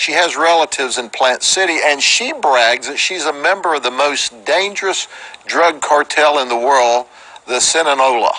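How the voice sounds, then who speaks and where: A man's fairly high voice with an American accent, ordinary pitch variation and a moderate pace, over noticeable background noise. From Florida, Polk County. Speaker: sheriff. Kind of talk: press conference. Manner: animated.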